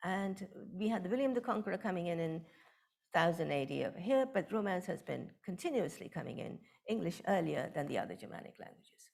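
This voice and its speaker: In a Bengali accent, a woman speaks very fast at medium pitch with lively intonation. Vocal fry runs through her voice. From India, West Bengal. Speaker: professor of linguistics. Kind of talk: lecture.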